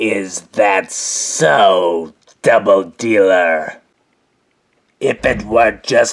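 A man performs in a put-on character voice. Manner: smug, casual, mocking.

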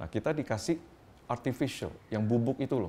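There is light background noise. A man speaks with vocal fry. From Indonesia. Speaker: company founder and CEO. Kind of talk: interview. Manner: halting. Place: home room.

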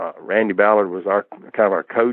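A man talks at a very fast pace. He speaks with a Southern US accent. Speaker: martial artist, kickboxer. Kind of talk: interview answer.

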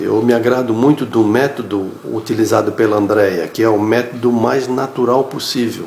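Audible room echo around moderately paced speech with fairly even intonation. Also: man. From Blumenau, Santa Catarina, Brazil. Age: 60s. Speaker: course student giving testimonial. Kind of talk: testimonial. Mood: calm, friendly. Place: home room. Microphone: phone near.

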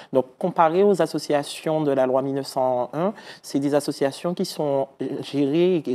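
With a dark, mellow tone, a man talks at a fairly high pitch and ordinary pitch variation. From Martinique. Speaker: municipal councillor. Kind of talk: TV interview. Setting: TV studio. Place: studio. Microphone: lapel.

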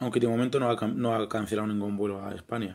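The delivery is monotone, with flat intonation. It moves at a very fast pace. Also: man. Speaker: video blogger answering viewers' questions. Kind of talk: casual informational talk, Q&A vlog with clips.

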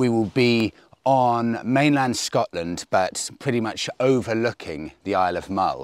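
A man speaks with lively intonation. The sound is dry, with no echo. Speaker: motorcycle road trip vlogger. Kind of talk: casual vlog chat. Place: open country.

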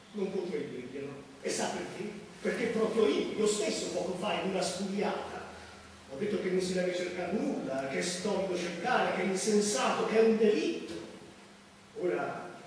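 Speaking in a high voice with ordinary pitch variation, a man leaves long, frequent pauses amid strong room echo and light background noise. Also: moderate pace. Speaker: stage actor. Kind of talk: theatrical monologue. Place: stage. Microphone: camera far.

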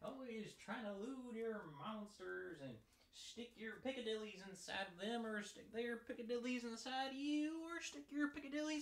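The speaker uses a put-on character voice. Its pitch is fairly high. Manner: exaggerated, comic.

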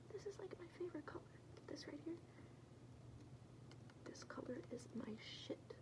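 A woman whispering. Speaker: ASMR creator. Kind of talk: ASMR personal attention roleplay. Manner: whispered; fast, chaotic. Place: home room. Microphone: phone near.

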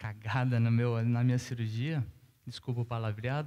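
With a southern Brazilian accent, a man speaks in a dark, mellow tone with monotone, flat intonation. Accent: gaúcho Brazilian Portuguese. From southern Brazil, Rio Grande do Sul (Caxias do Sul); Rio Grande do Sul, Brazil. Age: 30s. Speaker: professional tennis player; guest. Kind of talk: panel interview on stage; interview answer on panel. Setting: stage with audience. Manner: hesitant, with fillers. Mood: relaxed, smiling, candid. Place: stage. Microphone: headset.

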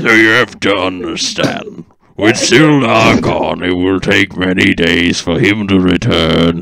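In a raspy put-on character voice, a man speaks at a fairly slow pace with a very deep, low pitch.

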